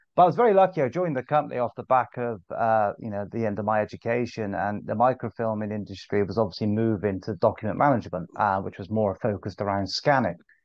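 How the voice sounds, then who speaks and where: Barely pausing, a man with a Bristol accent talks at a very fast pace. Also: fairly low pitch for a man, ordinary pitch variation. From England, Bristol. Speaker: sales director. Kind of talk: podcast interview. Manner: hesitant, many fillers.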